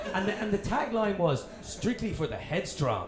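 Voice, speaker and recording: Audible room echo and noticeable background noise surround the recording. A man speaks at a moderate pace. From Dublin, Ireland. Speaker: TV presenter. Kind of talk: casual chat. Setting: stage with audience.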